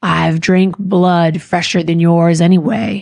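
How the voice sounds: Putting on a character voice, a woman speaks fairly low and fairly slowly in a monotone, flat way.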